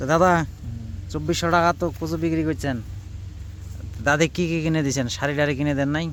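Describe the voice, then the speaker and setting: Lively intonation from a male speaker with a fairly high pitch. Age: 20s. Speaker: farming vlogger. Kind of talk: casual on-site interview. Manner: animated.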